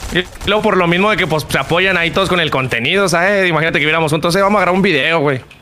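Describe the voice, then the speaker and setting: Talking at a very fast pace, a man with a high-pitched voice keeps his loudness very even and his pitch variation ordinary, over noticeable background noise. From Chihuahua, northern Mexico. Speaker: streamer and content creator. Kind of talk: casual chat.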